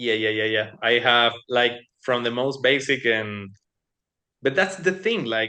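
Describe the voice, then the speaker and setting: A man with a Spanish accent at medium pitch, speaking at a fairly slow pace with ordinary pitch variation. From Latin America. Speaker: cardistry competition finalist. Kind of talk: interview. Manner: halting, many repetitions.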